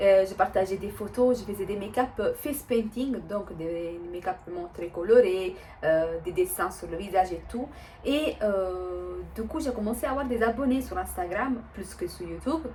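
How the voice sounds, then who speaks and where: With an Italian accent, a woman speaks at a medium pitch and a moderate pace. Her intonation is lively, her loudness swings widely, and noticeable background noise runs underneath. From Italy. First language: Italian (speaking French). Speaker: vlogger. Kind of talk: casual vlog talk. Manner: hesitant, many fillers.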